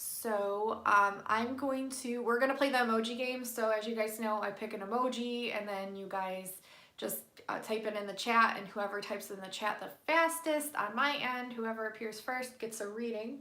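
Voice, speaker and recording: Quiet and fairly high-pitched, a woman talks with fairly even intonation amid noticeable background noise and audible room echo. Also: moderate pace. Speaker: tarot card reader livestreamer. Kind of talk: casual live stream chat with card readings. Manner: keeping voice down, quiet.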